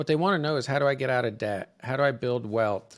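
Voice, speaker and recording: At a very fast pace, a man speaks with medium pitch and ordinary pitch variation on a very clean recording with a silent background. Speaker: mortgage advisor. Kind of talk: interview. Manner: animated.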